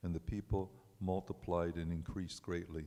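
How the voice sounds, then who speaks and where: A man's very deep, low voice with a dark, mellow tone and monotone, flat intonation. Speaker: congregant. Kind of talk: reading scripture aloud. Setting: synagogue service, on microphone. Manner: halting over names.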